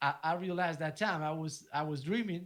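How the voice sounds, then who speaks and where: A man's fairly high voice at a fairly quick clip. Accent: Spanish. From Argentina. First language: Spanish. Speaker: DJ and music producer. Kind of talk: casual interview chat. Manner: halting, with repeated words.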